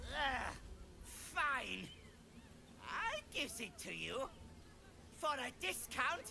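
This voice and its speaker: Someone performs a put-on character voice at a very slow pace with long, frequent pauses. Clear background noise runs underneath. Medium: video game. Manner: rough, chummy huckster patter with ungrammatical speech.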